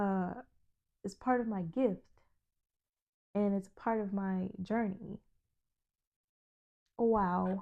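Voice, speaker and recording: Soft-spoken and very slow, a woman with a medium pitch and a dark, mellow tone talks with fairly even intonation, leaving long, frequent pauses. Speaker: spiritual self-help video host. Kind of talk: motivational monologue to camera.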